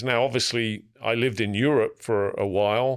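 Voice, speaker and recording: The recording is very clean, with a silent background. A man with an English accent speaks at medium pitch and a fairly slow pace. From England. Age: 60s. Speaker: business coach and peer group facilitator. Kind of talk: podcast interview.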